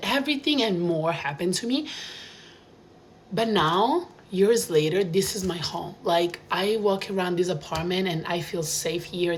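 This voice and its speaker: With an Italian accent, a woman talks at a moderate pace over noticeable background noise, with audible echo in the room. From Italy, small town. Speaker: vlogger. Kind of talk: casual monologue. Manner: animated.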